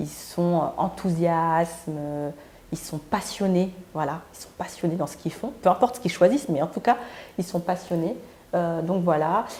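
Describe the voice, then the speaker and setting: With a dark, mellow tone, the speaker moves at a moderate pace with ordinary pitch variation and big swings in loudness. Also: woman, fairly low pitch for a woman. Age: 40s. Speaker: vlogger and entrepreneur. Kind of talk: casual vlog monologue. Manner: hesitant, many fillers.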